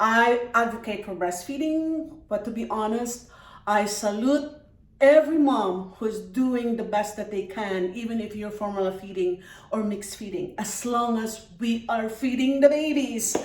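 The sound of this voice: At a fairly slow pace, a woman speaks with a fairly high pitch amid audible room echo. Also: ordinary pitch variation.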